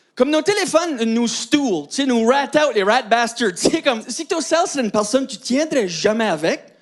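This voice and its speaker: Speaking with hardly any pauses, a man uses an extremely high pitch and lively intonation at a moderate pace. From Acadian New Brunswick, Canada. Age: 30s. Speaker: comedian. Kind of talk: stand-up.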